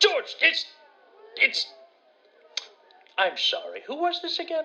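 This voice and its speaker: A put-on character voice sits at an extremely high pitch. Its delivery is fairly slow. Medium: audio drama. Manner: flustered, stammering.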